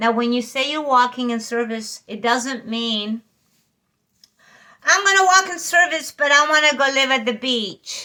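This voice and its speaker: A woman speaks in a raised, projected voice with a high pitch, a bright, sharp tone, lively intonation and an animated delivery. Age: 60s. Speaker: spiritual channeler / energy reader. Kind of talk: casual spiritual talk to viewers.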